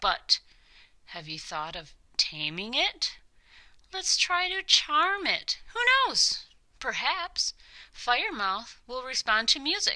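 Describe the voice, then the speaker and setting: A put-on character voice rings out raised and projected, sing-song in its delivery. It moves at a fairly slow pace with long, frequent pauses. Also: woman, high pitch for a woman. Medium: read story. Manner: bold, almost sing-song.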